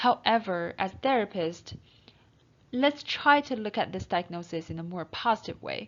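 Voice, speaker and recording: A woman speaks with a non-native accent. Her pitch sits at a medium level. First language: not English. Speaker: counseling instructor. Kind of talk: lecture. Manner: halting.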